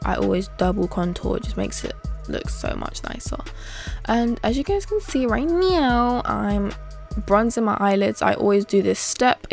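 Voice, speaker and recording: A woman with a British accent speaks at a moderate pace, with music playing in the background. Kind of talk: makeup tutorial talking to camera. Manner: casual, chatty, opinionated.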